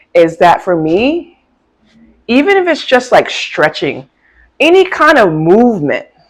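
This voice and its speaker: A woman with an American accent at a fairly slow pace. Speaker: life coach and motivational vlogger. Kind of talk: motivational talk to camera. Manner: casual, conversational.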